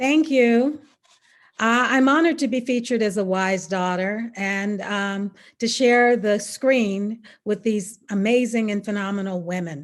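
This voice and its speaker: A woman speaks in an ordinary speaking voice with an American accent, her pitch fairly high. Her pace is fairly slow, with ordinary pitch variation against a quiet background. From US South, Mississippi. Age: 60s. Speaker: attorney. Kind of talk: prepared speech.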